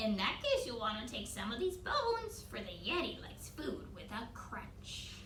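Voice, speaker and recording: A woman puts on a high-pitched character voice over clear background noise. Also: moderate pace. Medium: read story. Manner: gruff, cross.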